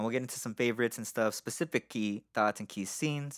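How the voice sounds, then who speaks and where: With a normal speaking voice at medium pitch, a man talks at a fairly quick pace on a very clean recording with a silent background and a dry, close sound with no echo. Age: 30s. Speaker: podcast host and musician. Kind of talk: casual chat. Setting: studio.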